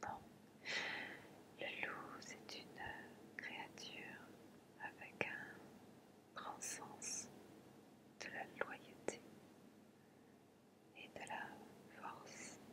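A woman whispers very slowly, her words separated by long, frequent pauses. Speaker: ASMR and relaxation content creator. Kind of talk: ASMR relaxation talk. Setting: close-mic home recording. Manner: whispered, soft-spoken.

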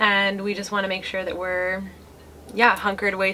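A woman speaks at medium pitch with a bright, sharp tone. Her pace is moderate.

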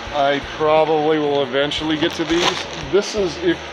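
With music playing in the background, a man speaks in fairly even intonation. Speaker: storage unit reseller. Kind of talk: casual vlog chat. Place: garage. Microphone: phone near.

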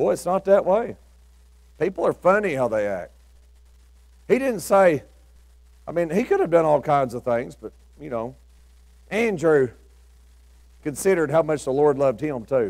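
Long, frequent pauses in a Southern US accent, with very wide pitch swings and a quiet background. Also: man, fairly high pitch for a man, moderate pace. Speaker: preacher. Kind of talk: sermon. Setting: church with congregation. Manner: informal storytelling, imagining biblical characters' thoughts, with folksy asides; earnest, exhorting, rising to an altar-call invitation. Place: church.

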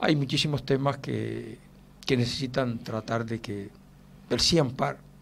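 There is vocal fry in this man's voice. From Canary Islands, Spain. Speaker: retired police chief, political candidate; candidate. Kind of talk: radio interview. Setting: radio studio. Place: studio. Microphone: studio mic.

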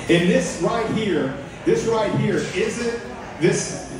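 Against noticeable background noise and strong room echo, a man speaks at a fairly slow pace. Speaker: candidate. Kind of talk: campaign speech. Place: bar.

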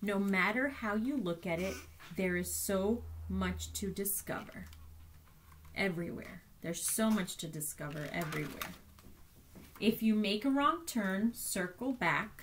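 Soft-spoken and gentle, a woman uses a warm tone with lively intonation and vocal fry. She goes fairly slowly with long, frequent pauses over light background noise. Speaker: teacher. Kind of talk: bedtime story reading aloud to children. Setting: remote learning video for schoolchildren. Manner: gentle, slow and soft, warm storyteller tone; animated, repeats key lines for emphasis. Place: home room. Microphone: webcam.

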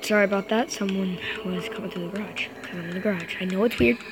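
Very fast speech over loud background noise. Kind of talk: gameplay commentary. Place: garage.

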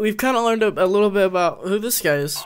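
A man speaks fast in a clear, smooth tone, his pitch high and his pitch variation ordinary.

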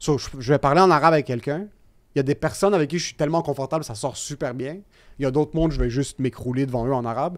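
Over a quiet background, a man talks at a very fast pace with a fairly high pitch. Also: ordinary pitch variation. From Quebec. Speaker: podcast guest. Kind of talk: casual chat. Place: studio. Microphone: studio mic.

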